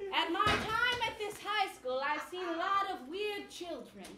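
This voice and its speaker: Against loud background noise and slight echo, a put-on character voice at extremely high pitch speaks at a moderate pace in a theatrical tone. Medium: stage play. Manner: overly earnest, theatrical.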